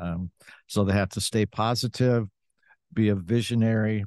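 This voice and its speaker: A man with an American accent speaks in an ordinary speaking voice, fairly low in pitch, at a fairly slow pace with fairly even intonation, over a quiet background in a dry, close sound with no echo. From US Midwest, Western Michigan. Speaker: dentist and company executive. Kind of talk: interview. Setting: live event.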